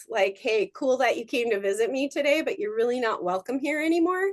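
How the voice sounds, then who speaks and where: A woman talks at a moderate pace, her intonation lively throughout. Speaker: real estate agent and presenter. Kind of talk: motivational talk. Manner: casual, many fillers.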